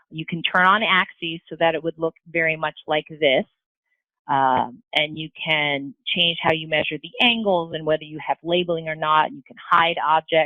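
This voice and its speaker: With a very deep, low pitch, a woman talks in fairly even intonation while her loudness swings widely. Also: moderate pace. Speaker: math software presenter. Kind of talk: tutorial. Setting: webinar.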